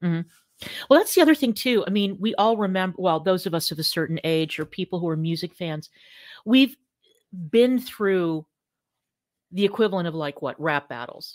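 A woman with an American accent has a normal speaking voice, medium in pitch, with lively intonation at a moderate pace. The recording is very clean with a silent background, dry and close with no echo. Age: 50s. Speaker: podcast co-host. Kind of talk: casual chat.

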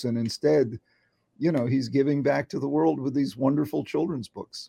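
Heard in a dry, close recording with no echo, a man speaks in a dark, mellow tone with ordinary pitch variation. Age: 70s. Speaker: psychiatrist and author. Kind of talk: casual interview. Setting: video call.

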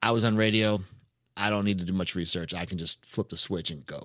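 A man with an American accent uses a plain, everyday voice at a fairly low pitch and fairly quick pace. His pitch varies in an ordinary way on a very clean recording with a silent background. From New Hampshire, US. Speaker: podcast host. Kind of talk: casual chat.

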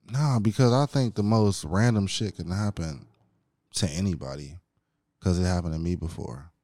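With an American accent, a man talks at a moderate pace in a very deep, low pitch and a dark, mellow tone, with lively intonation, on a very clean recording with a silent background. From Chicago, then Hammond, Indiana. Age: 20s. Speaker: podcast guest. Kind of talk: casual chat.

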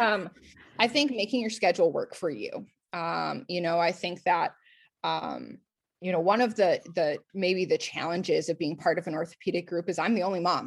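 Over a quiet background, a woman speaks in a fairly low pitch with ordinary pitch variation and vocal fry. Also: moderate pace. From Minnesota, Twin Cities area. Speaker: podiatric surgeon. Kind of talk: interview. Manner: hesitant, many filler words.

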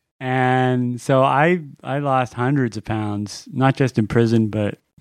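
With an unremarkable speaking voice at medium pitch, a man talks at a fairly slow pace against a quiet background, the sound dry and close with no echo. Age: 40s. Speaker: comedic character guest, extreme traveler. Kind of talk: comedic storytelling.

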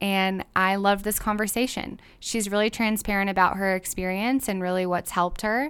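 Over a silent background in a very clean recording, a woman talks at a medium pitch with fairly even intonation. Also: hardly any pauses. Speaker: podcast host. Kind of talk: casual solo intro and interview. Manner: fast talker.

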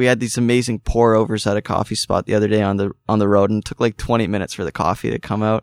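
In a very clean recording with a silent background and a dry, close sound with no echo, a man speaks at a very fast pace with hardly any pauses, in a fairly low, monotone, flat voice. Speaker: touring rock guitarist. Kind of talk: casual interview chat. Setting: studio. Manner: lots of fillers (uh, um).

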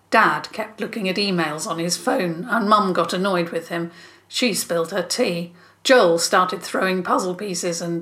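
Natural-voiced reading aloud

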